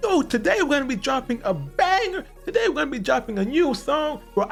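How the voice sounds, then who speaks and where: A man's put-on character voice at an extremely high pitch and fairly quick pace, with clear music in the background. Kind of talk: casual slang. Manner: over-the-top hyped, excited.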